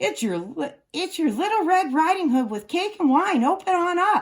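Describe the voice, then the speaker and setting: Putting on a growling character voice at an extremely high pitch, a woman speaks at a moderate pace. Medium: read story. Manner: sly, wheedling.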